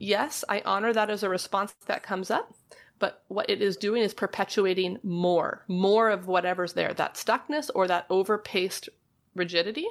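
A woman's plain, everyday voice at a medium pitch, with ordinary pitch variation, a moderate pace and very even loudness, on a very clean recording with a silent background. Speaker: licensed marriage and family therapist. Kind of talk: casual interview chat. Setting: trailer studio.

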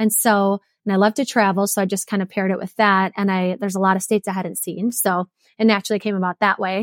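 A woman with an American accent and an unremarkable speaking voice, medium in pitch and fairly quick in pace, in a dry, close sound with no echo on a very clean recording with a silent background. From Wisconsin. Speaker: entrepreneur and marathoner. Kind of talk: interview conversation.

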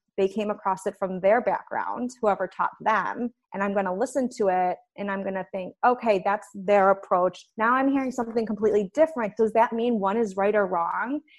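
A woman with an American accent speaks in an ordinary speaking voice at a medium pitch and a fairly quick pace, with ordinary pitch variation and hardly any pauses. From US Midwest, Chicago. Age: 30s. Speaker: nutritionist and personal trainer. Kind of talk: podcast interview.

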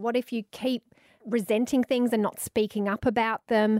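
In an Australian accent, a woman with a fairly high pitch speaks at a moderate pace, in a dry, close sound with no echo on a very clean recording with a silent background. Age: 40s. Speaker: radio host and author. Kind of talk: casual interview chat.

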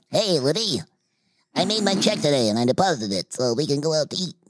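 A put-on character voice at middle pitch and a very fast pace. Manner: cartoonish.

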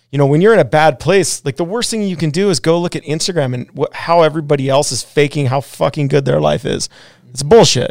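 Very fast male speech, fairly high in pitch, its pitch moving in an ordinary way, the sound dry and close with no echo. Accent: Western US. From Wyoming, US. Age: 40s. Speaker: pro snowboarder and rancher. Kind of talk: casual chat. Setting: studio.

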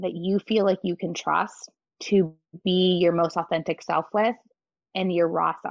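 With an ordinary speaking voice, a woman talks at a medium pitch. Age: 30s. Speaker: breathwork facilitator and movement instructor. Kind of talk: casual interview chat.

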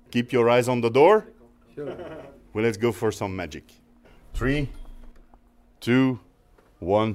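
Speaking at medium pitch, a man moves at a very slow pace with long, frequent pauses. His intonation is lively. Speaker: bakery training manager. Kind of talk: interview.

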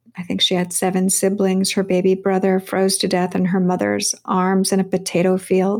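Speaking at a moderate pace, a woman with an American accent and medium pitch comes through on a very clean recording with a silent background. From California. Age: 50s. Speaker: novelist. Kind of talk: interview.

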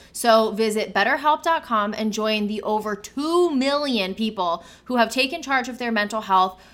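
Here a woman has a plain, everyday voice with fairly high pitch. She speaks at a moderate pace with ordinary pitch variation. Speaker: podcast host and interviewer. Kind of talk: casual chat.

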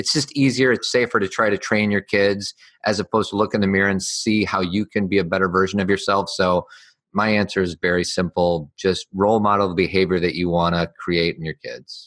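A man with an ordinary speaking voice talks at a fairly quick pace and fairly low pitch with fairly even intonation, the sound dry and close with no echo against a quiet background. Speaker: life coach. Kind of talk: interview.

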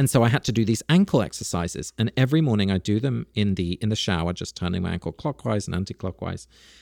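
This man has a fairly low pitch and a British accent, talking at a very fast pace with lively intonation and hardly any pauses. The recording is very clean with a silent background and a dry, close sound with no echo. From UK, Dutch parents. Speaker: author and podcaster. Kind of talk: interview conversation.

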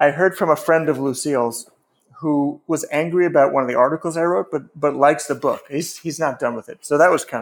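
Speaking in an unremarkable speaking voice, a man with an American accent uses a fairly high pitch and fairly even intonation. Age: 50s. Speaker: novelist and writing teacher. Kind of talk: casual interview.

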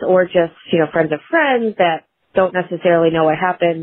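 This woman has an ordinary speaking voice at a medium pitch. She talks at a moderate pace. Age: 30s. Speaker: listener leaving a voicemail. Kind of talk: recorded voicemail question.

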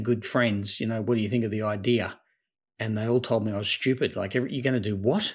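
A man talks in an Australian accent, captured in a very clean recording against a silent background. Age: 50s. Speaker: tech startup founder and CEO. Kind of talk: interview.

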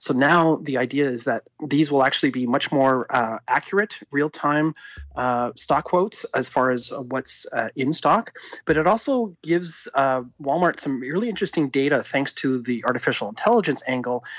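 A man's unremarkable speaking voice, fairly high in pitch, with lively intonation at a moderate pace. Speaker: tech commentator. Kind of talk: casual chat.

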